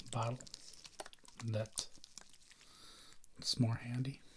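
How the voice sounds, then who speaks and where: Soft-spoken and somewhat breathy, a man talks at medium pitch and a moderate pace with monotone, flat intonation. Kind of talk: ASMR, soft-spoken talk to camera.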